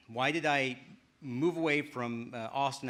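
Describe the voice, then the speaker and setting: Over a very clean recording with a silent background, a man speaks with a bright, sharp tone and ordinary pitch variation. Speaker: game studio director of development; actor and voice actor. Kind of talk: conference talk. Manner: fast.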